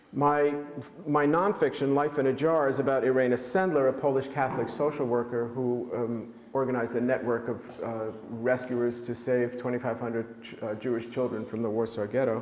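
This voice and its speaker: A man with a New York accent talks at a moderate pace in a medium pitch, with fairly even intonation. He leaves hardly any pauses, and noticeable background noise sits underneath. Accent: New York American. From US Northeast, New York City (Manhattan). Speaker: author and pediatrician. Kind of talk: book talk presentation. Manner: halting, many fillers.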